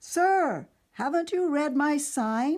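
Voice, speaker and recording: A put-on character voice from a woman, high-pitched with lively intonation. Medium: read story. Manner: crisp, proper.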